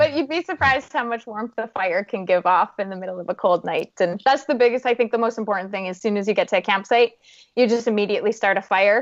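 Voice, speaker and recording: With a Canadian accent, a woman talks at a very fast pace with hardly any pauses, a fairly high pitch, and lively intonation. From Canada, Saskatchewan. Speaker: adventurer and motivational speaker. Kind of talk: podcast interview.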